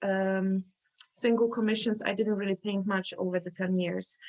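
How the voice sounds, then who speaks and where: A woman with a Polish accent speaks at a moderate pace in a flat, monotone way. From Poland. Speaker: artist. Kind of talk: interview. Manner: halting.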